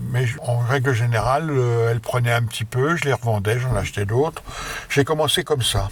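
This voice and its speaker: Noticeable background noise sits under a voice with fairly even intonation. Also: man. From France, Haute-Marne (near Langres). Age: 70s. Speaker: retired electrician and amateur investor. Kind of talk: interview. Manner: halting.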